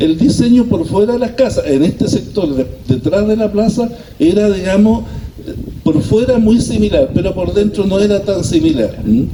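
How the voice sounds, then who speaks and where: A man speaks at a moderate pace in a high pitch with lively intonation. Noticeable background noise is present. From Chile, La Calera. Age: 60s. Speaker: former resident sharing local history. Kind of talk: community talk. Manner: hesitant, many fillers.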